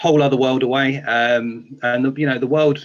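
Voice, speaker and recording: With a strong British accent, a man speaks at a medium pitch with ordinary pitch variation. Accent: thick UK. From England, small town outside London. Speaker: beat maker. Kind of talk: interview.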